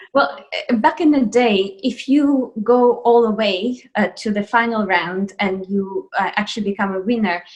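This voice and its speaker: With a Russian accent, a woman speaks at a moderate pace. Her pitch is fairly high and varies in an ordinary way. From Russia, Moscow. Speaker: ballet dancer. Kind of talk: interview. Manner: hesitant with fillers.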